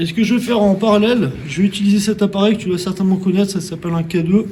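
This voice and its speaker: At a very fast pace, a man speaks in a high pitch with fairly even intonation. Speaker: urban explorer and paranormal investigator. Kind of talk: on-location exploration vlog. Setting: inside an abandoned fort at night. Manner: soft-spoken; hesitant with fillers.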